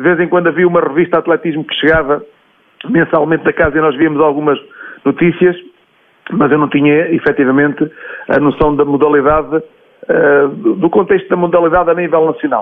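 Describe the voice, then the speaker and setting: A man speaks at a fairly quick pace with fairly even intonation, broken by long, frequent pauses. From Portugal, Leiria area. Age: 40s. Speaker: athletics coach. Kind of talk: interview. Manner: hesitant, repeats words.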